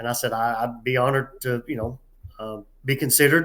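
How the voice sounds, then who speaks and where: A man with a Southern US accent talks at a fairly quick pace with fairly even intonation. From US South, East Tennessee. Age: 60s. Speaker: pickleball referee. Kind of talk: interview.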